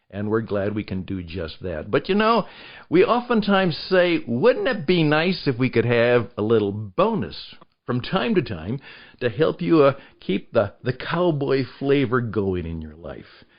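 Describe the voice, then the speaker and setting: A man's medium-pitched voice at a fairly slow pace, with very wide pitch swings and big swings in loudness. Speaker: podcast producer and host. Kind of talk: podcast interview host talk.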